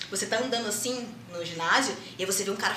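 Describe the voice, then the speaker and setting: Noticeable background noise and audible room echo fill the recording. A woman speaks with ordinary pitch variation. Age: 20s. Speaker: jiu-jitsu athlete and psychologist. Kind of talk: podcast interview.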